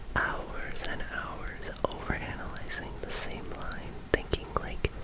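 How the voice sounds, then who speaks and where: A whisper at a very slow pace, with noticeable background noise. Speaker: ASMR creator. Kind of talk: unscripted sleepy ASMR ramble. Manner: soft-spoken, whispered.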